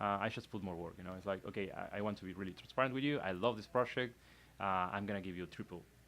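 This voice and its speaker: A man with a Spanish accent and a fairly low pitch talks at a very fast pace. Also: ordinary pitch variation. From Argentina. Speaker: illustrator and animator. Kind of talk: casual interview chat. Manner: halting, many restarts.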